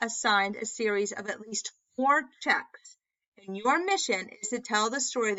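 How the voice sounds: A natural reading voice, with ordinary pitch variation, is heard against a quiet background.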